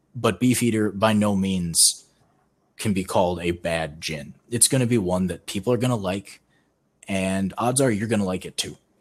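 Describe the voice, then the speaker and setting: Recorded very cleanly over a silent background, a man talks at a moderate pace in a plain, everyday voice with a fairly low pitch. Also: ordinary pitch variation. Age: 20s. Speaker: podcast co-host. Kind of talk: casual chat.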